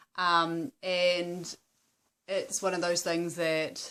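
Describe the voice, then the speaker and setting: Speaking with a New Zealand accent, a woman has a fairly low pitch. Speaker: vlogger on wellbeing in activism. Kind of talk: casual talk to camera. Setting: at home on couch. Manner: hesitant, many fillers.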